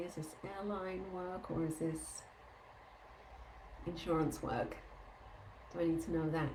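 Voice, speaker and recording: Audible room echo surrounds a woman with a fairly low pitch. She speaks at a moderate pace with fairly even intonation. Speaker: energy healing teacher. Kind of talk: live group Q&A session.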